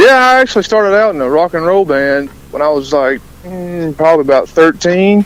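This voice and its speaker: Talking at a fairly quick pace, a man with a Southern US accent uses a high pitch and lively intonation. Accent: Southern US country accent, moderate. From US South (rural Alabama). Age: 20s. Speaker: country musician and army sergeant. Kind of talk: radio interview.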